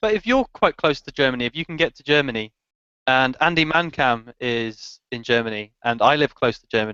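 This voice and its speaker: A man speaks with an English accent and a bright, sharp tone. His loudness swings widely in a dry, close sound with no echo. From England. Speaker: motovlogger. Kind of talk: casual chat. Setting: video call.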